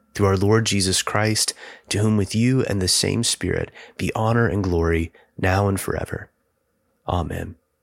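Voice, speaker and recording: Over a very clean recording with a silent background, a man speaks at a fairly low pitch and moderate pace. His intonation is fairly even, with long, frequent pauses. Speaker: prayer leader. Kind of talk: guided liturgical prayer, fervent and devotional, with petitions and responses. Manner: pleading, heartfelt intensity on the petitions.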